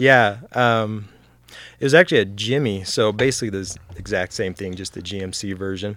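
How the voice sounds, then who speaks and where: Recorded very cleanly with a silent background, a man talks in an ordinary speaking voice at a fairly low pitch and moderate pace, with ordinary pitch variation and big swings in loudness. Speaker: car and motorcycle hobbyist, works in sales. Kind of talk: casual chat.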